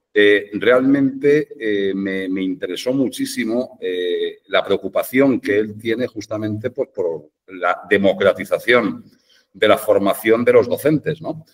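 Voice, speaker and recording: A man speaks in a strong Madrid accent. His pace is very slow. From Madrid, Spain. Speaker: education specialist. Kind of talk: podcast panel discussion. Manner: hesitant, many fillers.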